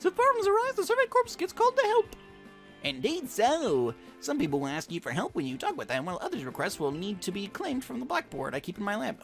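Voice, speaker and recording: Clear music plays in the background as a man rattles off lines at a very fast pace in a put-on character voice. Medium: game stream. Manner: jolly, chatty.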